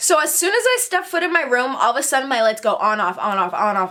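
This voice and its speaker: The speaker sounds animated, with very wide pitch swings. There is noticeable background noise. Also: woman. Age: 20s. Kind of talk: casual storytime talk to camera. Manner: animated, chatty.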